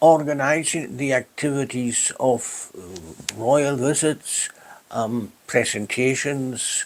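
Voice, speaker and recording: This man talks at a very slow pace in a medium pitch. His pitch varies in an ordinary way. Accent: Hebridean. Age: old. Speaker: retired public official. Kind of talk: oral history interview.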